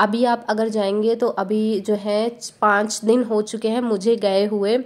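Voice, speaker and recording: A woman speaks in a monotone, flat intonation at a fairly slow pace. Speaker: travel vlogger. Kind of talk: vlog narration. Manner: casual with fillers.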